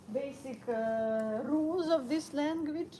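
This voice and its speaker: A woman speaks with a Ukrainian accent. Her intonation is lively. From Ukraine. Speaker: vlogger. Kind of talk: casual live stream monologue while walking. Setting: outdoors on a walk, snowing. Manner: halting, many fillers.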